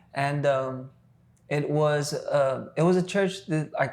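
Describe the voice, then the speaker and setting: A man speaks with fairly high pitch. His intonation stays fairly even. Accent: South Texas. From US South, Texas (Rio Grande Valley). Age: 20s. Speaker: worship leader. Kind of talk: casual podcast interview, faith testimony. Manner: halting, many fillers and repetitions.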